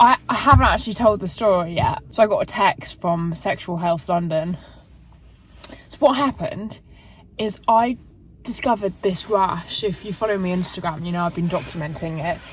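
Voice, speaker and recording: This voice moves at a moderate pace with ordinary pitch variation and big swings in loudness, over noticeable background noise. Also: woman, medium pitch for a woman. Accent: English. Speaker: fitness vlogger. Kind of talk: casual vlog. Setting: in a car.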